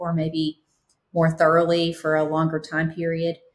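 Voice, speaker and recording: A woman speaks at a moderate pace. Her voice is fairly low in pitch and somewhat breathy. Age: 50s. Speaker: physician podcast guest. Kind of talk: interview. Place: home room. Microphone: webcam.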